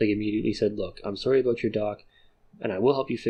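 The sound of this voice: Reading in an unforced voice.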